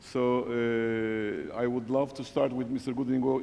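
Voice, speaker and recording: The intonation is monotone and flat, with noticeable background noise behind the speech. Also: man. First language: not English. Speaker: panel moderator. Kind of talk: panel moderation. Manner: halting, many fillers; formal.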